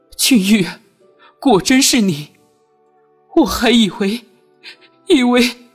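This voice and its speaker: Over music in the background, a put-on character voice, fairly high and shaky, moves at a fairly slow pace with long, frequent pauses. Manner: trembling, choked with emotion.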